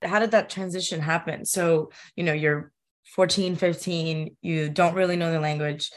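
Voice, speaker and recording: A woman with a normal speaking voice talks at a fairly low pitch and moderate pace. Her intonation is fairly even, against a quiet background. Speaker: podcast host. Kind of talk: interview with scripted intro and ad read.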